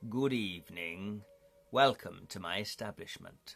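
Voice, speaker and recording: A soft-spoken man puts on a character voice at a fairly low pitch. He talks at a fairly slow pace with ordinary pitch variation. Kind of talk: refined, courteous.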